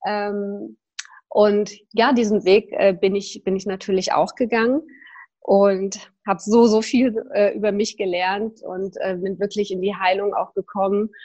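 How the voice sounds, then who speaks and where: A woman with a dark, mellow tone, medium pitch, fairly even intonation and fairly slow pace. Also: quiet background. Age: 40s. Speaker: yoga teacher and personal development coach. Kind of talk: casual interview.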